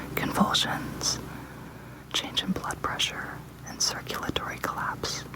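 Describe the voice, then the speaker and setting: Over noticeable background noise, the whispering goes fairly slowly, broken by long, frequent pauses. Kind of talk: ASMR reading of medication information. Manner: whispered.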